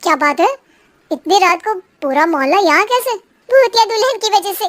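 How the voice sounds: A woman puts on a cartoonish character voice at an extremely high pitch, recorded with a dry, close sound and no echo. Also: moderate pace, lively intonation.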